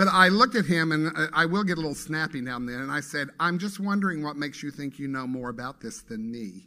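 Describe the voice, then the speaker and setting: In a bright, sharp tone, a man with a fairly high pitch races along at a very fast pace with hardly any pauses, lively intonation and big swings in loudness. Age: 60s. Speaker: guest speaker at a spiritual center. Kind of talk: sermon. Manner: conversational.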